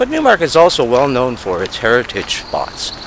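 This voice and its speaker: A man at a moderate pace with lively intonation, a dry sound with no echo and noticeable background noise. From Canada. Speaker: local community reporter. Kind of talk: community news report to camera. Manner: upbeat.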